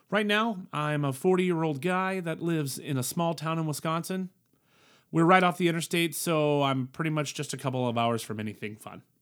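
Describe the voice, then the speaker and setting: A man with an unremarkable speaking voice talks at a fairly high pitch and a fairly quick pace on a very clean recording with a silent background. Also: ordinary pitch variation. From military family, moved around the world; born Colorado. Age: 40s. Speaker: podcast host. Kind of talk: casual monologue. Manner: casual with frequent fillers.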